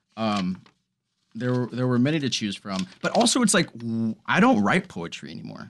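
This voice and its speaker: This speaker has an American accent and an unremarkable speaking voice. The delivery moves at a moderate pace with lively intonation. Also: man, medium pitch for a man. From Texas. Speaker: actor. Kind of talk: casual chat. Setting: in-person recording.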